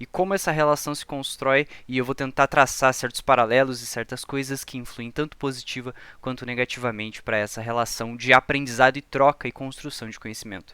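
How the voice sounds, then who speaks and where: A man speaks at a fairly quick pace in a bright, sharp tone and medium pitch, his loudness swinging widely and his pitch varying ordinarily, on a very clean, silent-background recording with a dry, close sound and no echo. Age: 20s. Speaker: esports data analyst and lecturer. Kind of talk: lecture. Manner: formal.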